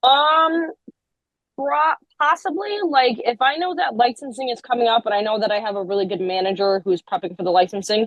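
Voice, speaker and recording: Loud and fairly quick, a woman speaks at a fairly high pitch with very wide pitch swings. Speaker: group home manager. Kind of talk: interview. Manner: fast.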